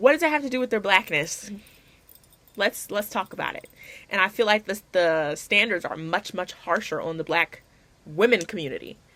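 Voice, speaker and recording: Lively in intonation with big swings in loudness, a woman speaks at a moderate pace in a medium pitch with a bright, sharp tone. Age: young. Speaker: college student. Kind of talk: class video essay to camera. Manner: casual, emphatic.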